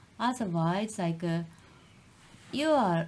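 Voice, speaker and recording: This woman has a fairly low pitch and a Japanese accent. Her voice is somewhat breathy. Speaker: podcast co-host. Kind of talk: casual chat. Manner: halting.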